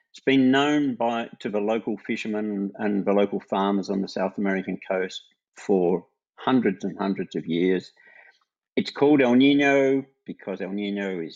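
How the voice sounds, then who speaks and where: A man speaks at a moderate pace with a fairly low pitch and an Australian accent, his pitch varying an ordinary amount. His loudness swings widely against a quiet background. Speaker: retired climate scientist, emeritus professor. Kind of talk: interview.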